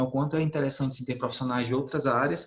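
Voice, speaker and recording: Over noticeable background noise and audible room echo, a man speaks at medium pitch with fairly even intonation. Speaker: agronomist engineer, conference speaker. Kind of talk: online conference talk. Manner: fast; hesitant, many fillers.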